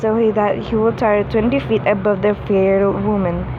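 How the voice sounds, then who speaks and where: Noticeable background noise behind a fairly slow delivery. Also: woman. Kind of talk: read-aloud fan fiction story. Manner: stuttering, halting reading.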